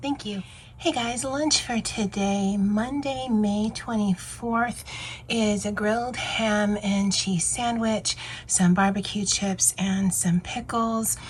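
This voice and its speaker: Over noticeable background noise, a woman with a medium pitch talks at a very slow pace with ordinary pitch variation. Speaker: lifestyle vlogger. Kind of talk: casual vlog talk. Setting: office at work. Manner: casual, hesitant with fillers.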